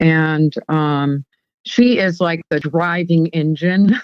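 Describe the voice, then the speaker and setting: Her voice sits fairly low, and the woman's pitch varies in an ordinary way. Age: 60s. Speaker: high priestess and event organizer. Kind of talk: casual interview chat. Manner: halting, many fillers.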